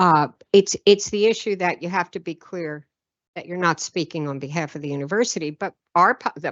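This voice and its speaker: At a moderate pace, a woman speaks with lively intonation. She has an ordinary speaking voice. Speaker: university administrator answering faculty questions. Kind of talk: meeting discussion. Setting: meeting in theater auditorium.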